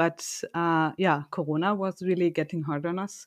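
In a German accent, a woman speaks at a moderate pace against a quiet background. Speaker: company podcast co-host. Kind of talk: casual chat.

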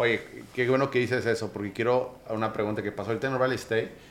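A man speaks fairly quickly in a monotone, flat voice. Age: 30s. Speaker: podcast host. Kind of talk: interview. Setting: office.

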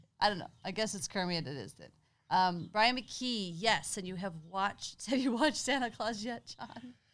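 On a very clean recording with a silent background, a woman speaks in an animated tone at a medium pitch and moderate pace, her loudness swinging widely. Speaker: podcast co-host. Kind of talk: casual chat. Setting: home garage. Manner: animated, laughing often.

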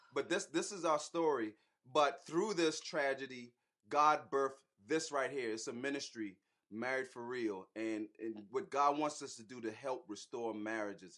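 An animated voice with an American accent, at a moderate pace, bright and sharp in tone, with big swings in loudness. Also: man, medium pitch for a man, lively intonation. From US South, Charleston, South Carolina. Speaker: marriage ministry host, husband. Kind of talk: casual live stream chat with personal testimony. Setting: online live stream.

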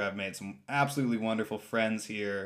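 An ordinary speaking voice with an American accent shows ordinary pitch variation. The recording is very clean, with a silent background. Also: man. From San Francisco, California. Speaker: podcast host and hemp farmer. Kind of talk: interview, casual chat. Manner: frequent filler words, uh and um.

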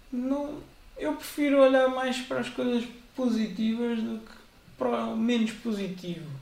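At a fairly slow pace and an extremely high pitch, a man speaks with ordinary pitch variation and big swings in loudness, amid noticeable background noise and audible room echo. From central Portugal. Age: 30s. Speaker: church member, former Bible institute student. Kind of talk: casual interview.

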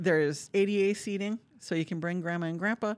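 Speaking in an Upper Peninsula Michigan accent, a woman with a medium pitch talks at a moderate pace with fairly even intonation on a very clean recording with a silent background. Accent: Upper Midwest (Yooper). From Upper Michigan (Marquette). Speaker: symphony orchestra executive director. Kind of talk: casual interview.

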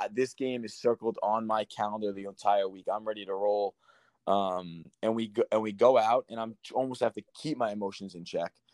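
An ordinary speaking voice with an American accent delivers fairly even intonation at a moderate pace, with big swings in loudness and a dry, close sound with no echo. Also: man, fairly low pitch for a man. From Long Island, New York. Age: 30s. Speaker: former professional soccer player. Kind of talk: casual interview.

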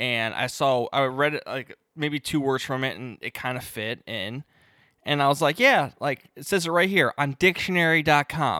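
Recorded very cleanly against a silent background, a man's bright, sharp voice sits at a fairly high pitch with ordinary pitch variation, moving at a moderate pace with big swings in loudness in a dry, close sound with no echo. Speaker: podcast co-host. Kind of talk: casual chat. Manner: mumbling.

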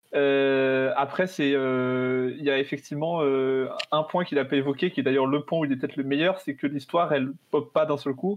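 This man's voice sits fairly high in pitch, moving at a moderate pace with fairly even intonation, very even loudness and hardly any pauses. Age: 20s. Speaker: business school student and game creator. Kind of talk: casual chat.

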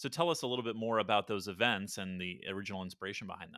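A man with a fairly low pitch speaks in a bright, sharp tone on a very clean recording with a silent background. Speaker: podcast host. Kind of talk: casual interview.

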